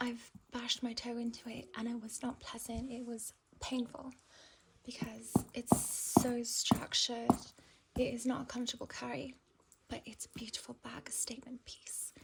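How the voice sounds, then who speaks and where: Against noticeable background noise, a woman speaks high in pitch with monotone, flat intonation. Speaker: ASMR content creator. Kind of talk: ASMR handbag review, talking to the viewer. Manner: soft-spoken, slow.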